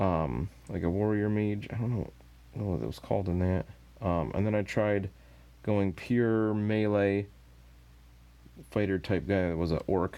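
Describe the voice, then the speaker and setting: A man speaks in a fairly low, dark and mellow voice with a relaxed tone and ordinary pitch variation. He keeps a moderate pace, with long, frequent pauses. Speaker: miniature painting streamer. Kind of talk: casual live stream chat while painting. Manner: relaxed, meandering.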